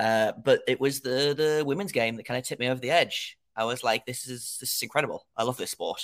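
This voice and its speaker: A speaker with an English accent talks at a very fast pace with fairly even intonation. The sound is dry and close with no echo, in a very clean recording with a silent background. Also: man, medium pitch for a man, hardly any pauses. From England. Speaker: hockey podcaster. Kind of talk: casual podcast chat. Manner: halting, hesitant with fillers.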